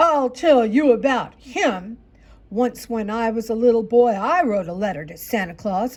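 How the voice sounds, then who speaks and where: Performing a put-on character voice, a woman growls at a moderate pace, her fairly high pitch carried by lively intonation. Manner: growling, grumpy.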